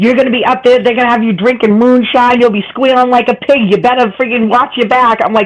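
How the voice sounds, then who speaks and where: Someone with a Boston accent speaks at a fairly quick pace over noticeable background noise. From Boston area. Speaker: online panel participant. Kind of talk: casual chat. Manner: fast.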